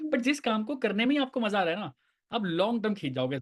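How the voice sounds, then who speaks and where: The man's tone is animated, with very wide pitch swings. The background is quiet. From Uttar Pradesh, India. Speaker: network marketing team leader. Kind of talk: casual group discussion.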